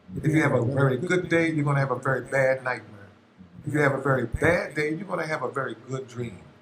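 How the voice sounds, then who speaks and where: This man's voice sits at a fairly high pitch and sounds somewhat breathy. He moves at a fairly quick pace with ordinary pitch variation. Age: 60s. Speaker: musician, interview guest. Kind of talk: casual interview chat.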